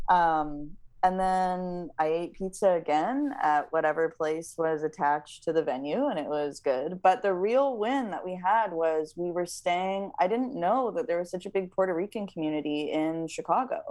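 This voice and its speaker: A woman with a plain, everyday voice talks at a moderate pace with lively intonation and hardly any pauses over a quiet background. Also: fairly low pitch for a woman. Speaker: singer-songwriter. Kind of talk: casual interview. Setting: video call.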